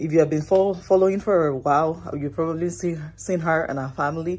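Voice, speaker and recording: A woman with a very deep, low pitch talks at a moderate pace with ordinary pitch variation. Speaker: vlogger. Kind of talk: casual vlog chat. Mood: happy, celebratory. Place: home room. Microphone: phone near.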